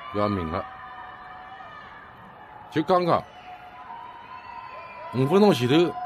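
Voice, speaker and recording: A man with a Shanghainese accent speaks at a very slow pace, leaving long, frequent pauses, with music in the background. His fairly high pitch moves in very wide swings. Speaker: resident filming. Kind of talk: amateur phone video narration. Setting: outdoors, high-rise apartment. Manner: agitated, alarmed. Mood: alarmed, exasperated. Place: home room. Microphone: phone near.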